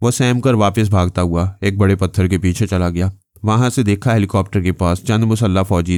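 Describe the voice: The speech is plain reading aloud with ordinary pitch variation.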